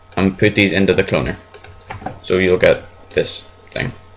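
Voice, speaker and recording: Over noticeable background noise, a man speaks at a fairly slow pace and fairly low pitch. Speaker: software tutorial maker. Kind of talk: screen-recorded tutorial. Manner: casual, hesitant.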